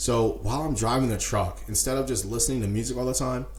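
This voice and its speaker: Noticeable background noise and audible room echo accompany a man speaking fairly quickly. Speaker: podcast host and entrepreneur. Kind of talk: solo podcast monologue. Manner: fast; casual, with many fillers.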